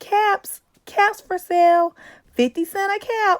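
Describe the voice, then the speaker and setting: Using a put-on character voice, a woman speaks squeakily at an extremely high pitch and a fairly slow pace, the sound dry and close with no echo. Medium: read story.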